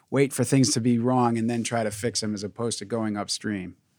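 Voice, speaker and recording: An ordinary speaking voice at a fairly quick pace. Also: man. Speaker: podcast host. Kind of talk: interview conversation. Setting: video call.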